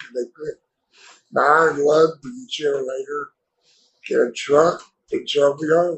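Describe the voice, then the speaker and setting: The man's voice has a fairly high pitch. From Texas (Dallas). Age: 70s. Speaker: polio survivor, author. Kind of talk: interview testimony. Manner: hard to understand, halting speech.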